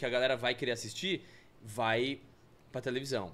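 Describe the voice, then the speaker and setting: The man speaks at a fairly quick pace. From Brazil, São Paulo city. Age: 40s. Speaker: film and TV producer; podcast guest. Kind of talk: casual interview chat. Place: studio. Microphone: studio mic.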